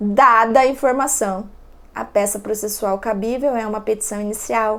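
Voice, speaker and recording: With an unremarkable speaking voice, a woman talks at a moderate pace and with ordinary pitch variation. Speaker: law professor. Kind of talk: lecture.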